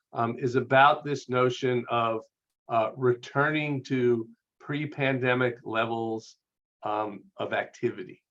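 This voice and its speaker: A man speaks at a medium pitch. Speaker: research consultant presenting survey data. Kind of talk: webinar presentation. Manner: hesitant, many fillers.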